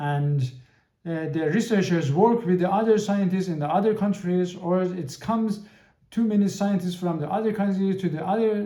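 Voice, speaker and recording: A man's high-pitched voice in a Persian accent, with ordinary pitch variation and audible room echo. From Iran. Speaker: podcast host. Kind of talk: podcast monologue. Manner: halting, many repetitions and fillers.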